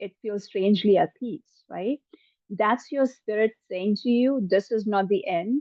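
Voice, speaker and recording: A woman with a medium pitch talks at a fairly slow pace with ordinary pitch variation. It's an unremarkable speaking voice. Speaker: psychic medium. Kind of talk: channeling session. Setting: live online session.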